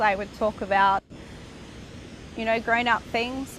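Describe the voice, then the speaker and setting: A woman with an Australian accent speaks at a fairly high pitch. Her intonation is monotone and flat. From Australia, Brisbane. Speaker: interviewee sharing spiritual journey. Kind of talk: personal testimony.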